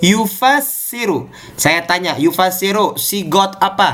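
A man's high-pitched voice with lively intonation at a very slow pace, over noticeable background noise. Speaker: Islamic teacher. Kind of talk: online class lesson. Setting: video call. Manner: formal, teacherly.

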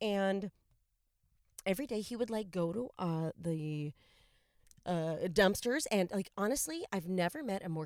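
An unremarkable speaking voice with lively intonation, in a dry, close sound with no echo and a very clean recording with a silent background. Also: woman. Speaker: podcast host. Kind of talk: casual chat. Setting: in a car. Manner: casual, profane, laughing often.

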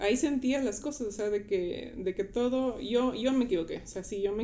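With a dark, mellow tone, a woman speaks at a fairly quick pace, using a fairly high pitch and ordinary pitch variation. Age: 20s. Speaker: church volunteer. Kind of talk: casual chat.

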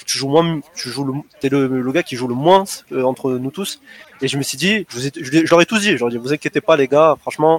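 With an unremarkable speaking voice, a man talks at a moderate pace and a fairly high pitch, with ordinary pitch variation and a dry, close sound with no echo. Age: 20s. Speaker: competitive gamer. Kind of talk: casual interview.

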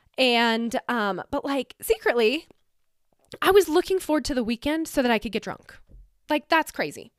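In a General American accent, a woman speaks at a moderate pace with very wide pitch swings. The sound is dry and close, with no echo. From Colorado mountain town. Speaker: podcast host. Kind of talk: personal monologue.

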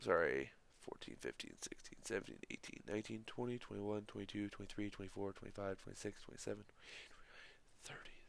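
Very fast whispering with hardly any pauses. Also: man. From Northwest Missouri. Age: 20s. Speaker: sports podcast host and play-by-play announcer. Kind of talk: solo sports podcast. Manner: casual, many filler words.

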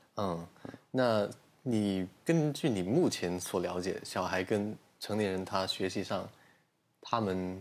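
Moving at a very slow pace, a man talks with ordinary pitch variation. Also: fairly low pitch for a man. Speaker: podcast host. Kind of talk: casual interview chat. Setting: studio recorded on video.

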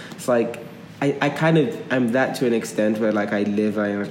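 This man's fairly low pitch comes through noticeable background noise and audible room echo. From Nigeria and London. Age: 20s. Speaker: podcast co-host. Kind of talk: casual chat.

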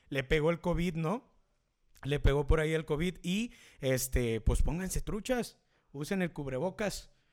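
In a very clean recording with a silent background, a man speaks with a Mexican accent. His intonation is lively. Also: fairly high pitch for a man. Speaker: podcast host and DJ. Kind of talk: casual live show chat. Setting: home studio, live stream.

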